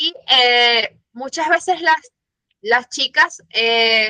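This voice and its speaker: Heard dry and close with no echo, a woman with a Venezuelan accent speaks at a high pitch in a bright, sharp tone with ordinary pitch variation. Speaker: audience member, communications staff. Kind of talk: audience question.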